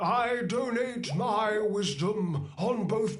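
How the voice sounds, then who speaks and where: A put-on character voice pitched fairly high. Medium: video game. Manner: boastful, chuckling.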